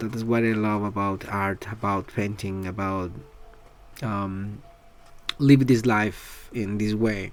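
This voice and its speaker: Speaking at a very slow pace with long, frequent pauses, a man with a Spanish accent keeps a fairly low pitch and fairly even intonation. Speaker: artist vlogger. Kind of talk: casual vlog talk. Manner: halting, many fillers.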